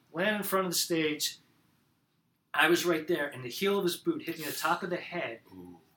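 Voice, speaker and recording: In an American accent, a man with a high pitch and a bright, sharp tone speaks at a moderate pace, with ordinary pitch variation and big swings in loudness. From central New Jersey. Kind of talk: casual conversation.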